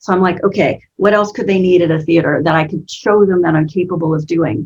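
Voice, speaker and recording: Her voice is somewhat breathy, a woman speaking at a fairly low pitch. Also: fairly quick pace. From United States. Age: 50s. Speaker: business coach. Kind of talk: interview. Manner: animated.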